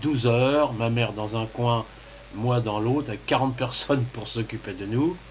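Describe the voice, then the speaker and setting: The delivery moves at a fairly slow pace with fairly even intonation. Noticeable background noise runs throughout. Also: man. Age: 60s. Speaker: kidney transplant patient. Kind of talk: testimony. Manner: halting.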